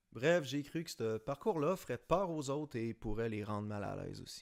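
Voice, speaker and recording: In a very clean recording with a silent background, a man with a Quebec accent speaks at a moderate pace and a medium pitch. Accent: Québécois French. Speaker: designer and YouTuber. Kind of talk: personal vlog monologue. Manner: hesitant, many fillers.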